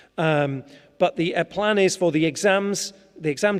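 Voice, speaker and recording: This is a man speaking. He has an English accent. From England. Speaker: school teacher. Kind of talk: presentation to parents. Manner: halting.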